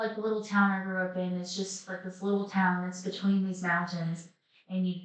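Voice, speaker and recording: A woman with an Appalachian accent speaks at a moderate pace and medium pitch, her intonation monotone and flat. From Southwest Virginia, Appalachia. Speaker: life coach. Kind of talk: casual talk to camera.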